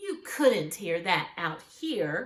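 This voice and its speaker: Putting on a character voice, a woman speaks at a medium pitch with very wide pitch swings. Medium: read story.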